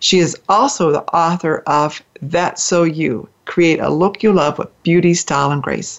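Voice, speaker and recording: A woman with an unremarkable speaking voice, fairly low in pitch, talks at a moderate pace. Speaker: radio host. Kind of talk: interview chat. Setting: internet talk radio show. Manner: warm, friendly, conversational.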